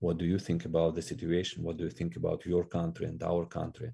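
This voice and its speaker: A man's very deep, low voice with a dark, mellow tone, ordinary pitch variation and a Russian accent. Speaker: ministry regional director. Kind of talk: interview. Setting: podcast interview. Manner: halting.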